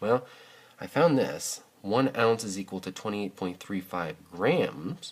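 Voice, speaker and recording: At a fairly slow pace, a man talks in a plain, everyday voice with a fairly low pitch. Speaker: math teacher. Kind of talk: video lesson tutorial.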